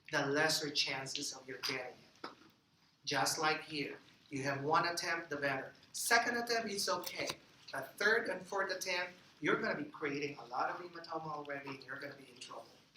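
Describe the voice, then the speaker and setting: Over clearly audible background noise, the talker delivers words fairly quickly in an American accent. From East Texas. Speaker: anesthesia lecturer. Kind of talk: lecture. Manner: conversational, frequent fillers and restarts.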